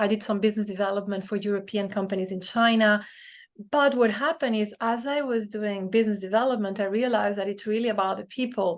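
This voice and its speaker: A woman's medium-pitched voice with a non-native accent, very fast pace, fairly even intonation, and a quiet background. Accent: foreign accent in English. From Brazil, France and the Netherlands. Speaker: DEI strategist and self-published author. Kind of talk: podcast interview.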